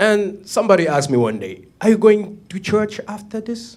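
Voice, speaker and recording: This man talks at a moderate pace in a French-speaking African accent, his high voice swinging very widely in pitch. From Cameroon. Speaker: comedian. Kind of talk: stand-up.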